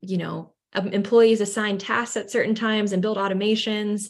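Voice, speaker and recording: A plain, everyday voice from a woman at medium pitch and moderate pace, over a quiet background. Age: 20s. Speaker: marketing agency owner. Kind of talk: interview.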